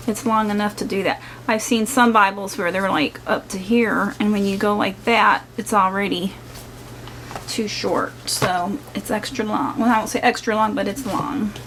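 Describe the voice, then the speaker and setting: Noticeable noise sits in the background. Over it, a woman talks fairly high in pitch. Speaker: craft channel vlogger. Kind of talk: casual product unboxing video.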